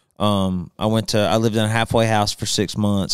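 Against a quiet background, a man with a Southern US accent speaks in a monotone, flat intonation, the sound dry with no echo. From Alabama, Birmingham. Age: 30s. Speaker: country singer. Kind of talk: casual chat. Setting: studio. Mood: relaxed storytelling. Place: studio. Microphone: studio mic.

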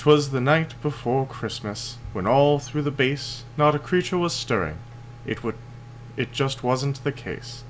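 A man's medium-pitched voice with vocal fry, at a fairly slow pace. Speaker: storyteller and gaming video host. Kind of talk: bedtime story reading, a Christmas poem read aloud in a sing-song storybook cadence. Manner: warm, playful and animated, with a rhythmic storyteller lilt; friendly and casual when addressing the audience.

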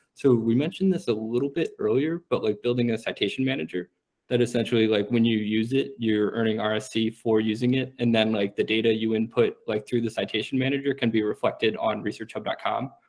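A man talks at a fairly quick pace with hardly any pauses. His pitch varies in an ordinary way against a quiet background. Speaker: startup team member presenting reward design. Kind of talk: online community meeting. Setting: video call.

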